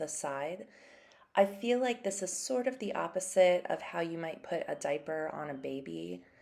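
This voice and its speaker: A soft-spoken woman has a fairly low pitch and a dark, mellow tone. She talks at a fairly slow pace. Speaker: ceramic artist. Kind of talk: narrated craft tutorial.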